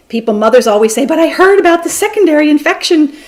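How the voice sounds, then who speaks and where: Her pitch swinging very widely, a woman speaks over noticeable background noise. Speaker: physician and lecturer. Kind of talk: lecture. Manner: fast.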